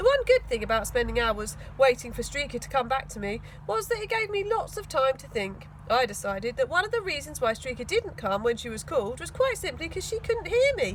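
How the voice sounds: A woman talks at a fairly quick pace with a high pitch and big pitch swings, and clear background noise can be heard.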